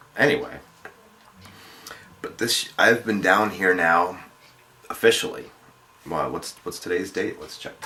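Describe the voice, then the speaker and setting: Against noticeable background noise, a man with an American accent talks at a fairly slow pace, with long, frequent pauses and big swings in loudness. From New York area, about fifty miles north of the city. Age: 40s. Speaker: vlogger. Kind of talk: vlog video response. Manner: halting, many fillers and restarts.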